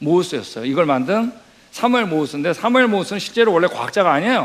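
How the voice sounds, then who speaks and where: Speaking at a very fast pace, a man with a high pitch makes very wide pitch swings. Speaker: missionary lecturer. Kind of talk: lecture.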